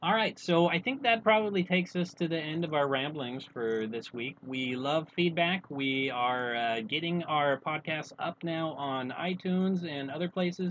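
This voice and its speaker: An American-accented man with an unremarkable speaking voice talks at a moderate pace with lively intonation and hardly any pauses. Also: fairly high pitch for a man. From United States. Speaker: podcast co-host. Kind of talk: casual chat.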